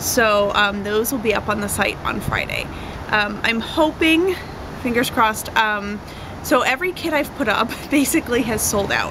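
A woman talks at a moderate speed, her pitch varying in an ordinary way, with noticeable noise in the background. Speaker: craft kit seller. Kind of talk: casual vlog chat. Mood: cheerful, chatty. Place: garden. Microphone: camera far.

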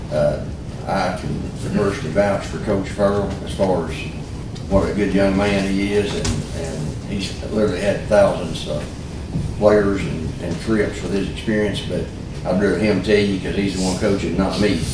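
A man is talking in a room with audible echo. There is noticeable background noise as well. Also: moderate pace. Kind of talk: formal meeting remarks. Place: meeting room. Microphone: camera far.

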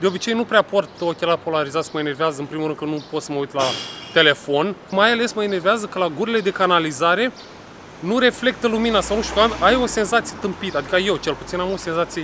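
Talking at a very fast pace with ordinary pitch variation, the speaker is heard in a dry sound with no echo over noticeable background noise. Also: man, high pitch for a man. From Romania. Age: 40s. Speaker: vlogger. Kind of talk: casual vlog chat. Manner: loud. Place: street. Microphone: phone near.

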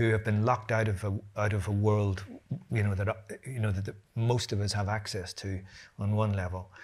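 This man's voice is fairly low-pitched and somewhat breathy, moving at a moderate pace. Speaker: writer on a panel. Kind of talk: panel discussion answer. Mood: earnest, impassioned. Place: hall.

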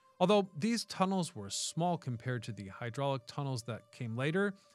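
A man speaks at a moderate pace with a dry sound and no echo. Faint music plays in the background. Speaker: history channel host. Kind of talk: documentary narration. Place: studio. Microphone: studio mic.

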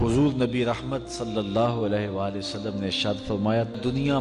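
A man at medium pitch, with music in the background. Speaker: Islamic preacher, religious scholar. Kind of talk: Islamic sermon, emotional bayan.

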